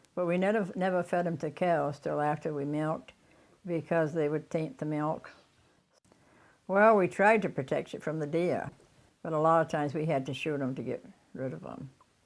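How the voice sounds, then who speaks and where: A woman talks at a moderate pace in a very deep, low voice with ordinary pitch variation and long, frequent pauses. The recording is very clean, with a silent background. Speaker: elderly farmer. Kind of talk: interview reminiscence.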